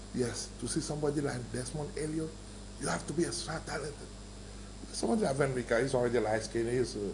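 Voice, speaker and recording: A man speaks very fast with long, frequent pauses, and the room echo is audible. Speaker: film maker. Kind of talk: interview.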